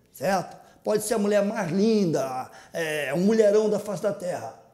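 The man speaks with a high pitch. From Rio de Janeiro, Maré favela. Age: 50s. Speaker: comedian and internet personality. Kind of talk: casual interview storytelling. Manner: animated.

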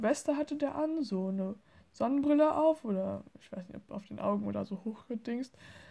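The woman's voice has a dark, mellow tone and is somewhat breathy. Her intonation is lively. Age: 20s. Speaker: podcaster. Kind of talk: casual monologue. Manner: hesitant, many fillers.

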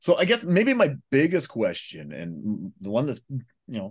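A man's vocal fry and very wide pitch swings at a moderate pace. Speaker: radio host. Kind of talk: casual interview chat.

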